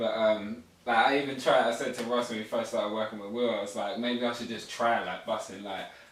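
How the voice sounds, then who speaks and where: Amid noticeable background noise and audible room echo, the speech runs at a fairly quick pace with hardly any pauses and a monotone, flat intonation. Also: man, medium pitch for a man. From England, teen years in the US. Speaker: rapper. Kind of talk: interview. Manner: slurred words.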